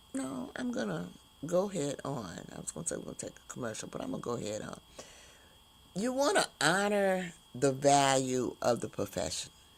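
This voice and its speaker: The talking goes at a moderate speed, and background noise is clearly noticeable. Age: 70s. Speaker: talk show host, retired teacher. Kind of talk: livestream talk show monologue. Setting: live stream. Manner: casual, conversational with fillers.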